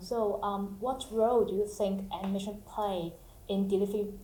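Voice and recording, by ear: In a room with audible echo, a woman speaks at a moderate pace with a dark, mellow tone and fairly even intonation. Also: medium pitch for a woman.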